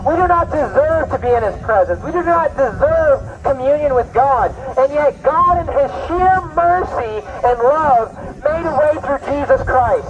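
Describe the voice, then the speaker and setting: Over crowd noise in the background, a man talks at a fairly slow pace. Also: ordinary pitch variation. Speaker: street preacher. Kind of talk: sermon. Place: garden. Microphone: camera far.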